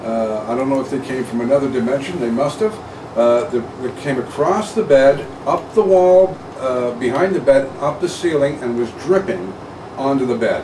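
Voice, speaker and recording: Against noticeable background noise, a man talks at a moderate pace. His fairly high pitch moves with lively intonation. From England, Nottingham. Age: 50s. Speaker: radio host. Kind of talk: casual chat.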